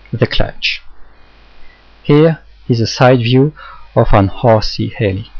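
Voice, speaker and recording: With a French accent, a man speaks somewhat breathily at medium pitch and a very slow pace, with ordinary pitch variation and long, frequent pauses. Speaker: hobbyist instructor. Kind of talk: tutorial.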